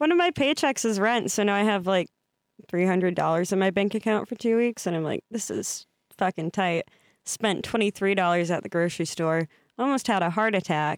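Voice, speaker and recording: Mumbling at a fairly quick pace with an American accent, a woman speaks at a medium pitch with ordinary pitch variation, in a very clean recording with a silent background and a dry, close sound with no echo. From US Midwest. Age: 20s. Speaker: podcast guest. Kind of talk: casual chat.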